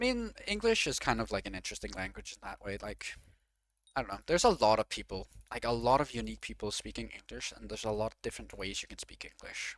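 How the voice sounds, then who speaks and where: A man at a very fast pace, loudness swinging widely, in a very clean recording with a silent background. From Denmark. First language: Danish. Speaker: video game streamer. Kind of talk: casual live-stream chat. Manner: filler-heavy, frequent 'like'. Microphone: worse than usual, secondary setup mic.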